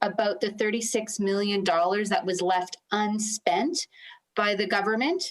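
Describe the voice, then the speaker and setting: A woman's ordinary speaking voice, fairly high in pitch, at a moderate pace with very even loudness. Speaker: opposition legislator. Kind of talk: committee questioning.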